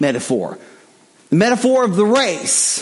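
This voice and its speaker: A man at a moderate pace with very wide pitch swings, amid noticeable background noise and audible room echo. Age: 50s. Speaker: guest preacher. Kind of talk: sermon.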